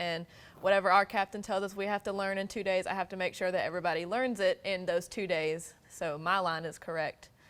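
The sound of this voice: A woman speaks at a fairly quick pace with few pauses, in a fairly low pitch and a fairly bright tone. Her intonation stays fairly even.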